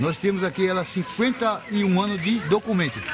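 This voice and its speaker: Noticeable background noise is present throughout. Over it, a man speaks. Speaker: community association president. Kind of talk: interview. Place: street.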